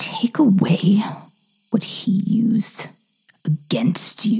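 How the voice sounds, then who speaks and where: A raspy, put-on character voice at a fairly high pitch and a very slow pace. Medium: read story. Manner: calm, menacing, commanding.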